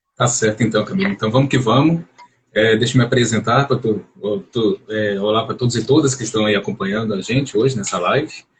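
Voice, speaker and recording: With a normal speaking voice, a man at medium pitch talks at a fairly quick pace with ordinary pitch variation. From Brazil, Belo Horizonte, Minas Gerais. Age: 30s. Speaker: psychology doctoral student and journalist. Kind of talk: live-stream interview. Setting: online live stream.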